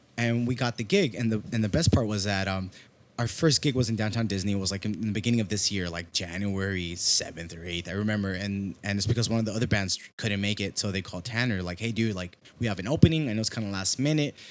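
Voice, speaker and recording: Speaking with a Mexican accent, a man has a fairly low pitch. His pace is very fast. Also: ordinary pitch variation. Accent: Mexican tinge on Spanish words. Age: 20s. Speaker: musician and musical director. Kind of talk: casual chat. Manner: animated.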